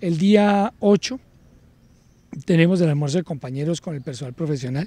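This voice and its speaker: This man has a dark, mellow tone and a high pitch, with ordinary pitch variation. He talks at a moderate pace in a dry sound with no echo. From Colombia, Cúcuta (Norte de Santander); Norte de Santander, Colombia. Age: 40s. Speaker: police colonel, police academy director. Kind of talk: interview. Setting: at the police academy. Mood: calm, reflective. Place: garden. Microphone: handheld.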